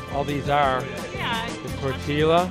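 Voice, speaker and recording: Clear music plays in the background as a man speaks with ordinary pitch variation in a dry sound with no echo. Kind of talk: casual vlog chat. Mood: relaxed, cheerful. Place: street. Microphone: phone near.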